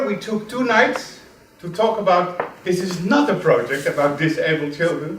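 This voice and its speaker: Against noticeable background noise and audible room echo, a man with a Turkish accent speaks at a moderate pace with ordinary pitch variation. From Turkey. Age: young. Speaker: student. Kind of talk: presentation. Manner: halting.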